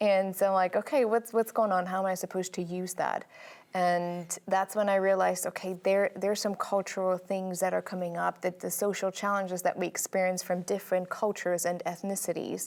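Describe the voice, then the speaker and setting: Flat and monotone, a woman talks at a fairly quick pace in a medium pitch with a German accent and hardly any pauses. The recording is very clean, over a silent background. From Germany. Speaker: sociologist. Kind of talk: TV interview.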